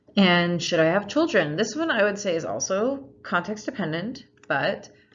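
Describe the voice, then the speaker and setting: The voice makes very wide pitch swings. There is audible room echo. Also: woman, medium pitch for a woman, moderate pace. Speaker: lecturer. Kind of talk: lecture.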